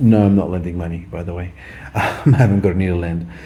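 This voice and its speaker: A man mumbles at a very fast pace in an Australian accent. Audible room echo and noticeable background noise surround him. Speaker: vlogger. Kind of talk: casual monologue. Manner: mumbling.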